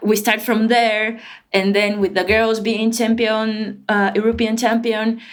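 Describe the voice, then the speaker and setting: Her voice sits at a fairly high pitch, with monotone, flat intonation and very even loudness at a fairly slow pace. Audible room echo surrounds this woman's speech. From Brazil. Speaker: football player and coach. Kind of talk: podcast interview. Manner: halting, repeats words.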